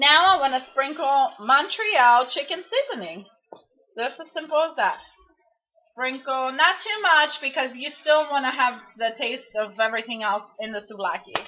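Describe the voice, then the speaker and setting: High pitch from a woman, moving in very wide swings. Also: moderate pace. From Greece. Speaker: home cook. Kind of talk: cooking tutorial. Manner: casual.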